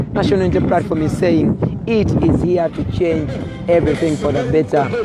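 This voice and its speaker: Loud background noise surrounds a dry sound with no echo. The pace is moderate, with ordinary pitch variation. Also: man. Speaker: campaign video reporter. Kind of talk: commentary. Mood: critical, persuasive. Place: car. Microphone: phone near.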